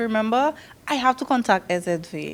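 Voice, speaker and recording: In a slight Dominican accent, the speaker goes at a moderate pace with ordinary pitch variation. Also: woman. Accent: slight Dominican twang. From Sint Maarten, Dutch Quarter. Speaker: nurse and community council officer. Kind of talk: presentation at information session. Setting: evening information session with audience. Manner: animated.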